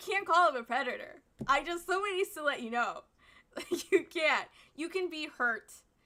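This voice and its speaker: A woman's raised, projected voice with a bright, sharp tone, an animated tone, lively intonation and a moderate pace. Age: 20s. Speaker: streamer reacting to online drama. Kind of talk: casual commentary.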